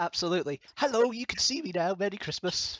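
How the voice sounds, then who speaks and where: With a Scottish accent, a man speaks using ordinary pitch variation. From Scotland. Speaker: livestream host. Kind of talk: casual chat.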